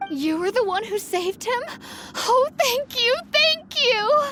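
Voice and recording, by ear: Someone puts on a character voice with a bright, sharp tone and lively intonation, speaking at a slow pace over faint background noise. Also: woman, extremely high pitch for a woman.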